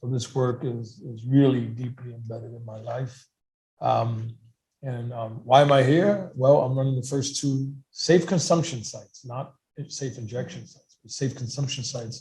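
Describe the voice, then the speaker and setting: In a New York accent, a somewhat breathy man speaks at a moderate pace and medium pitch. His pitch varies in an ordinary way, while his loudness swings widely. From New York City, Lower East Side. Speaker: harm reduction organization director. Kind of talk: panel discussion.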